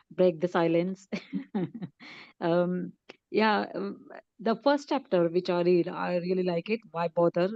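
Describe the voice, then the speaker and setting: A woman's fairly low voice at a fairly slow pace, with ordinary pitch variation and long, frequent pauses. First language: Marathi. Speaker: book club member. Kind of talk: group discussion.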